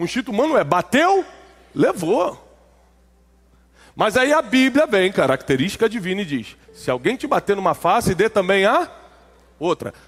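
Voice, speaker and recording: With long, frequent pauses, a man talks at a moderate pace in a high pitch, his pitch swinging very widely. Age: 40s. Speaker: preacher. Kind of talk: sermon.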